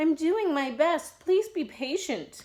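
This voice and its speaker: Using a put-on character voice, a woman talks at a fairly slow pace, squeaky and at an extremely high pitch. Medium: read story. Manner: meek, apologetic.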